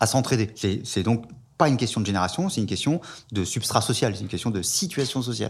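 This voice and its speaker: His voice sits at a medium pitch. The speaker is a man. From France. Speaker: sociologist. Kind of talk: interview.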